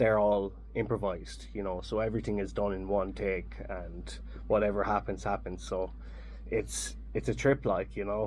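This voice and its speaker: At a moderate pace, the speaker talks with an Irish accent. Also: man. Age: 30s. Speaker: jazz saxophonist. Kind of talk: radio interview. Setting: radio studio.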